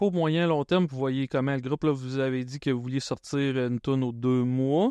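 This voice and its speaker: A fairly slow, nearly pause-free delivery in a Quebec accent, fairly even in intonation, with a dry, close sound, no echo and a quiet background. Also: man. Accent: Québécois French. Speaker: comedian and podcast host. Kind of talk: podcast interview.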